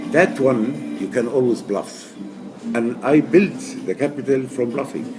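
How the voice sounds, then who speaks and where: With noticeable background noise behind him, a man speaks at a fairly slow pace and ordinary pitch variation. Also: medium pitch for a man. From Egypt. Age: 70s. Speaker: amateur poker player. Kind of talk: interview. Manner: halting.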